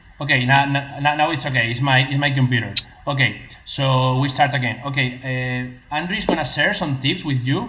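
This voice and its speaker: In a room with audible echo, a man speaks at a moderate pace in a bright, sharp tone, his fairly high pitch held to fairly even intonation. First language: Spanish. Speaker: e-commerce YouTuber and interviewer. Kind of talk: live-streamed interview with translation. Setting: live stream video call. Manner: hesitant, halting English. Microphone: double sound echo on stream.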